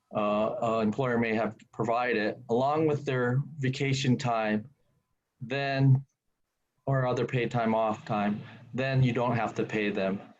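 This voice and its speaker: A man with a plain, everyday voice, medium pitch, fairly even intonation and a fairly slow pace. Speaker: employment lawyer. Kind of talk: webinar presentation.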